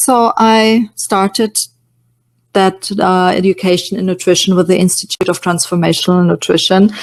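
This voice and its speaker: Dry and close with no echo, a woman speaks at a moderate pace with a German accent. Her intonation stays fairly even. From Germany, Munich. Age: 50s. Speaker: nutrition coach. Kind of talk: webinar presentation. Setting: online webinar. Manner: hesitant, many fillers.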